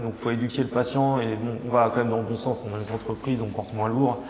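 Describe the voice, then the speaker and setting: Over noticeable background noise, a man talks at a fairly quick pace with a medium pitch and monotone, flat intonation. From France, Mayenne. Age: 30s. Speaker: osteopath. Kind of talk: interview. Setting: studio. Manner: halting, many repetitions and hesitations.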